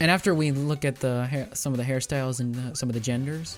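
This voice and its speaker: Music plays in the background as a man talks at a fairly quick pace. His medium-pitched voice is shaky, with ordinary pitch variation. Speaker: gaming youtuber. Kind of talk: casual recap monologue. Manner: halting.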